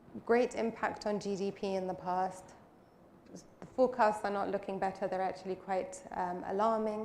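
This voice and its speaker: Audible room echo surrounds a woman's medium-pitched voice. Her pace is moderate and her intonation fairly even. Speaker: panel moderator. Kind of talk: conference panel moderation.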